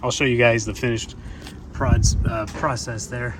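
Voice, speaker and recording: With noticeable background noise behind him, a man of medium pitch talks at a moderate pace with ordinary pitch variation. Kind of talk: DIY video narration. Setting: outdoors at backyard shed. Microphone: poor audio quality, no fancy mic.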